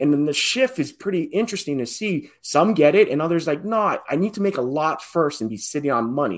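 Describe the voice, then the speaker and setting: On a very clean recording with a silent background, the voice moves at a fairly quick pace with very wide pitch swings and hardly any pauses. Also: man, fairly high pitch for a man. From Hawaii. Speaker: real estate investor and educator. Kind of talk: podcast interview.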